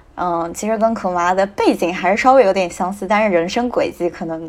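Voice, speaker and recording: A woman's fairly fast speech, with normal pitch movement, comes through noticeable background noise. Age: 20s. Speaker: strategy consultant, new graduate. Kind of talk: casual discussion.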